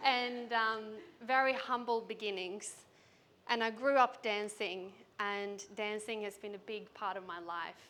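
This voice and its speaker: Her pitch fairly high and her tone bright and sharp, a woman speaks at a fairly slow pace with fairly even intonation and big swings in loudness, with audible room echo. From Sweden. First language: Swedish. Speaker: business coach. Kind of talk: keynote speech. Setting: stage with audience.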